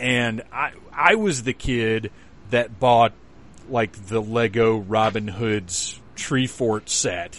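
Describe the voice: A man's slow delivery, fairly low in pitch, with ordinary pitch variation and a fairly bright tone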